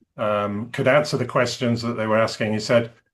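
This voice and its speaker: With an English accent, a man speaks at a medium pitch and a fairly quick pace in a monotone, flat intonation. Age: 60s. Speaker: executive and career coach. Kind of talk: interview conversation.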